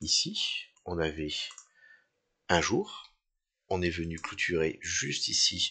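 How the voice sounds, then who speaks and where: A very slow male voice full of long, frequent pauses, in a quiet background. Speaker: crypto trading analyst. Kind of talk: tutorial. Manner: halting.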